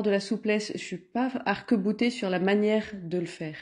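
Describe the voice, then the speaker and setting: Against a quiet background, a woman with a medium-pitched, dark, mellow voice speaks at a fairly slow pace with ordinary pitch variation. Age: 50s. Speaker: entrepreneur. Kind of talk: interview. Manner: halting.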